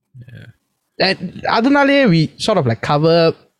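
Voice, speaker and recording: A man speaks in a somewhat breathy voice with lively intonation. The sound is dry and close, with no echo. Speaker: podcast host. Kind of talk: casual chat.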